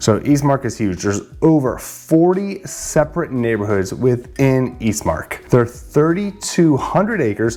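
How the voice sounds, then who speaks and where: At a moderate pace, a man talks at medium pitch with very wide pitch swings. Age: 40s. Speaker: real estate agent. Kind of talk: informational vlog. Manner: casual, conversational with fillers.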